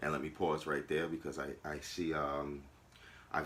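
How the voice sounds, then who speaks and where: In an American accent, a man speaks with a very deep, low pitch. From New York, Long Island. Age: 40s. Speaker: YouTuber. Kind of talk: personal vlog monologue. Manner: casual, with fillers.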